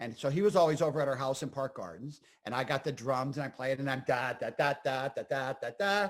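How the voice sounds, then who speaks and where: Speaking at a fairly quick pace with a northeastern Pennsylvania accent, a man uses an animated tone, a fairly high pitch and ordinary pitch variation. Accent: northeastern Pennsylvania American. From northeastern Pennsylvania (Scranton). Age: 60s. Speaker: comedian and actor. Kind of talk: casual interview chat.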